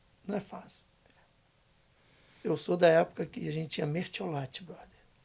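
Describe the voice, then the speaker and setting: A man speaks in a fairly high voice with vocal fry. His loudness rises and falls sharply. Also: ordinary pitch variation, moderate pace. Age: 60s. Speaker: guest speaker, community worker. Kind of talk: casual podcast interview. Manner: animated.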